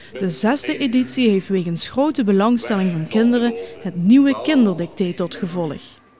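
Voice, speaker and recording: A woman with a fairly high pitch talks at a moderate pace. Her pitch swings very widely over noticeable background noise. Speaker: TV news reporter. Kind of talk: regional TV news report.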